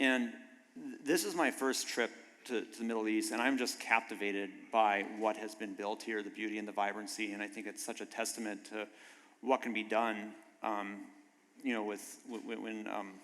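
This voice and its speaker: A man talks with a slight North Dakota accent at a moderate pace. His fairly low voice stays monotone and flat. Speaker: biotech manufacturing executive. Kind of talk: panel discussion.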